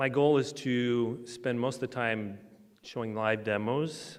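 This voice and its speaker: A man's medium-pitched, normal speaking voice with fairly even intonation. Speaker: transportation engineer, conference presenter. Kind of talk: conference presentation.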